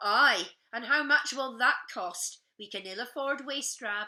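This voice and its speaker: Putting on a gruff character voice with a Scottish accent, a woman speaks fairly slowly at a high pitch, with lively intonation and big swings in loudness. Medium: read story. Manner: gruff, stern.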